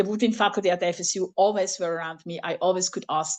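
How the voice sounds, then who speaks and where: Against a quiet background, a woman with a non-native accent and a medium pitch speaks at a very fast pace. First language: not English. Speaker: flute professor. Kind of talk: workshop presentation. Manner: halting.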